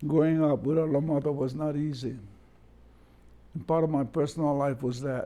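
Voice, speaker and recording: Spoken with a Hawaiian accent in a dark, mellow tone, the delivery moves at a moderate pace with fairly even intonation and long, frequent pauses. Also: man, fairly high pitch for a man. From Kohala, Hawaii. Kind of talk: oral history interview answer.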